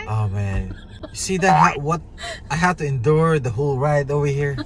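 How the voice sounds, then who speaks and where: A man at a fairly slow pace, dry sound with no echo, under loud background noise. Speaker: father vlogger. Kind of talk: casual vlog chat. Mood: playful, mildly exasperated. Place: car. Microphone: phone near.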